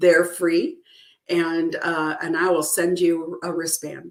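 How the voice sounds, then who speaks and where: The speaker has a plain, everyday voice and moves at a fairly slow pace. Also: woman. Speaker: true crime show host and author. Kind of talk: live stream sign-off. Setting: live stream with chat. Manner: casual, filler-heavy.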